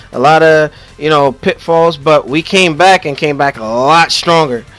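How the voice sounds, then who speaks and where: A man talks in an animated tone at a moderate pace with ordinary pitch variation, with noticeable background noise behind him. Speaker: gaming podcast host. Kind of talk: casual podcast chat. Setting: live-streamed podcast with chat. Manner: animated, repetitive, stammering.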